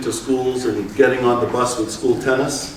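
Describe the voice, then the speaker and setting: With audible room echo and noticeable background noise around him, a man talks at a moderate rate. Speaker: tennis coach. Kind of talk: conference presentation.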